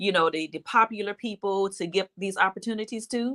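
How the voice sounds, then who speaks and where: A woman with a Detroit accent, medium pitch, bright, sharp tone, fairly even intonation and a fairly quick pace, dry and close with no echo. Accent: US Midwest (Detroit). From Detroit, Michigan. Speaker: bank executive and minister. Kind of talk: interview.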